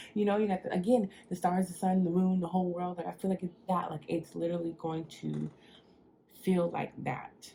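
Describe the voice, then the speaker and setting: The woman has a dark, mellow tone and a fairly low pitch, speaking at a moderate pace with fairly even intonation. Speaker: tarot reader. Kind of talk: tarot reading. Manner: quiet, trying not to talk loud; casual, filler-heavy.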